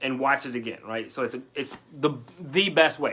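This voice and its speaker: A man speaks at a fairly quick pace in an animated tone, with ordinary pitch variation. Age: 30s. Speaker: online business coach. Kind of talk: live stream coaching session. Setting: Facebook live video. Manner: fast.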